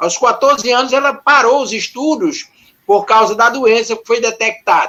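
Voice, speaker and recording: A man's extremely high, raised and projected voice, bright and sharp in tone, at a moderate pace. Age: 70s. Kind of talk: panel discussion.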